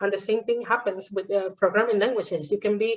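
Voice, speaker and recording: In a Spanish accent, a woman speaks at a fairly high pitch. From Venezuela. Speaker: podcast host, engineering teacher. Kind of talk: casual interview chat.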